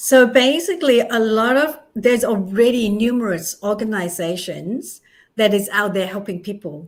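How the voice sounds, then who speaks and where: A woman's fairly high voice with a non-native accent, lively intonation and a moderate pace, in a very clean recording with a silent background. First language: not English. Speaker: charity founder and author. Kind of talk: interview. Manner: animated.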